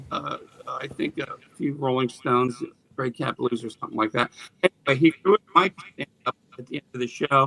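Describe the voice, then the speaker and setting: Over music in the background, the voice comes through dry and close with no echo, moving at a fairly quick pace with big swings in loudness. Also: man. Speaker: rock musician. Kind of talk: casual interview. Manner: halting, frequent fillers.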